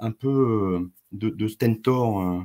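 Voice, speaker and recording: Dark and mellow in tone, this man's voice shows ordinary pitch variation. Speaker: company president. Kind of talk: investor presentation. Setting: video call. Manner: hesitant with many fillers.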